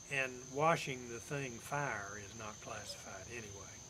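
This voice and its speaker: Medium-pitched male voice with an East Tennessee accent and fairly even intonation. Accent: East Tennessee Southern American. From Campbell County, Tennessee. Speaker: Air Force veteran. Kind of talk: oral history, casual talk to camera.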